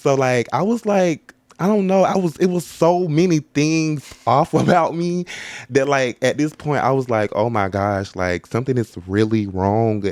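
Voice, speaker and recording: At a fairly slow pace, a man with a fairly high pitch swings very widely in pitch against noticeable background noise. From US South, Warner Robins, Georgia. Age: 20s. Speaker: podcast co-host. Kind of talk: casual chat.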